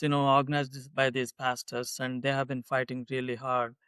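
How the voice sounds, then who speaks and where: This is a man speaking. He has an Indian accent. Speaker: political candidate. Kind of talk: interview. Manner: hesitant, many fillers.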